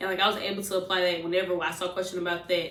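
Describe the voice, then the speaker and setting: Animated in tone, a woman with an American accent speaks at medium pitch, with noticeable background noise and audible room echo. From US Midwest, St. Louis, Missouri. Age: 20s. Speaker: nursing student vlogger. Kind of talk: casual advice vlog. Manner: fast.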